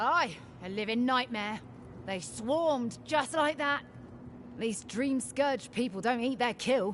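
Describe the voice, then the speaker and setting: A woman's gruff, put-on character voice, high-pitched and fairly slow, over clear background noise. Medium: video game. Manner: crude, gruff.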